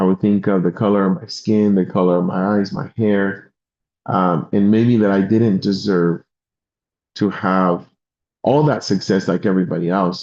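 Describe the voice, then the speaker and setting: A man with a Spanish accent talks at a moderate pace in a fairly low, dark, mellow voice. His intonation is fairly even, his loudness very even, and the background quiet. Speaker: insurance and financial sales leader. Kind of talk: motivational talk on a live stream.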